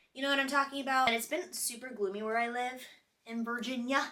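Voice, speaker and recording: Ordinary pitch variation at a fairly quick pace. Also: woman. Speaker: lifestyle vlogger. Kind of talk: casual vlog talk to camera. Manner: chatty, many fillers.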